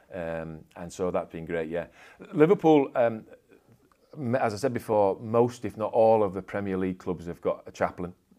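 A man with a Yorkshire accent speaks at a moderate pace in a fairly low pitch with a dark, mellow tone. His intonation is lively, and his loudness swings widely. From Yorkshire, England. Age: 50s. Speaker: sports club chaplain and pastor. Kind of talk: casual interview.

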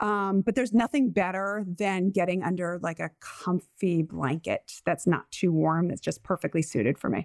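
A woman with an American accent uses an ordinary speaking voice at medium pitch, with ordinary pitch variation, moderate pace, hardly any pauses, and a dry, close sound with no echo. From Rhode Island, US. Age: 40s. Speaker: sleep psychologist and podcast host. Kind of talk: casual chat, podcast intro.

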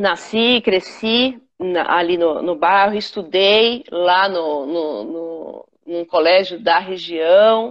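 Very slow speech from a woman, with long, frequent pauses. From São Paulo, Brazil (Capão Redondo). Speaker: businesswoman. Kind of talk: casual interview on a live stream. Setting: online live stream video call. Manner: halting, many repetitions.

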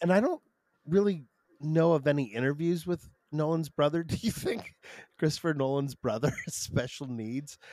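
In an American accent, a man speaks at a fairly high pitch with a dark, mellow tone, ordinary pitch variation and a moderate pace. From Michigan, Detroit. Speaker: comedian. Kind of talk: casual chat.

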